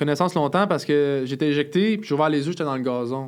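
This man speaks at a very fast pace. His voice sits fairly high and varies in pitch an ordinary amount. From Montreal, Quebec. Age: 20s. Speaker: wheelchair user sharing life story. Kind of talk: casual interview. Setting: studio.

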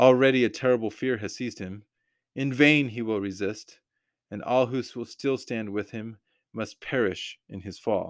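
On a very clean recording with a silent background, a man with an American accent and a medium pitch talks at a moderate pace with fairly even intonation and big swings in loudness. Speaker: podcaster. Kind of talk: solo podcast commentary with scripture discussion; reading aloud a resistance leaflet, solemn and declamatory. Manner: halting, filler-heavy, with frequent restarts; earnest, impassioned.

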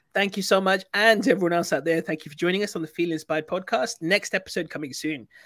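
A man with a British accent speaks in a high voice at a very fast clip, barely pausing. The recording is very clean, with a silent background. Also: ordinary pitch variation. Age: 40s. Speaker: podcast host. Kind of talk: casual interview. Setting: livestream.

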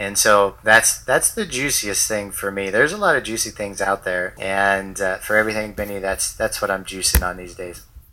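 A man with an American accent talks at a moderate pace with hardly any pauses. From United States. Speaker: entrepreneur, digital nomad. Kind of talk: casual interview chat.

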